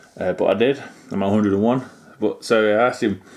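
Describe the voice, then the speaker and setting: A man with a British accent, medium-pitched, at a moderate pace with fairly even intonation. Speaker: model railway YouTuber. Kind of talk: product review. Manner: hesitant, many fillers.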